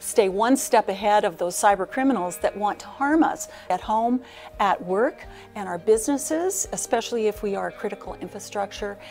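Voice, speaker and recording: Moderate-paced speech with faint music in the background. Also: woman. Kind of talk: interview answer. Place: hall.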